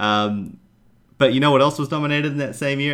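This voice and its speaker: A man in an American accent at a fairly quick pace. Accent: sounds American. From New Zealand. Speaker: podcast co-host. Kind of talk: casual chat.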